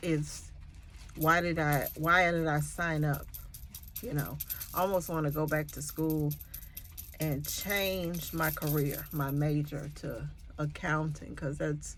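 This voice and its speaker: Audible room echo surrounds a woman speaking very slowly with long, frequent pauses. Her pitch is very deep and low. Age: 50s. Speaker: nursing student and LPN vlogger. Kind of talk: casual vlog monologue. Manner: rambling, hesitant with fillers.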